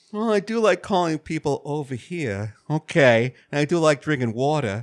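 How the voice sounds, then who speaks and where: A man with a slight New York accent and a fairly high pitch talks at a moderate pace, his pitch swinging very widely. The sound is dry and close with no echo. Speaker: video game podcast co-host. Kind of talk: casual chat.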